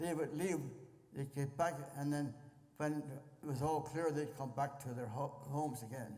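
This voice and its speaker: Audible room echo around a man with an American accent, fairly high pitch, fairly even intonation, moderate pace and long, frequent pauses. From Pennsylvania. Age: 90s. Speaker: war veteran. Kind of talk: interview. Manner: halting.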